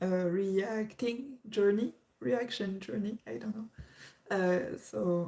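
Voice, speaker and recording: A woman with a French accent speaks very slowly in a dark, mellow tone, her medium pitch showing ordinary variation. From France. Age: 20s. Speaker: YouTube reactor. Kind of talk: livestream chat. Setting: livestream at parents' house. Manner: halting.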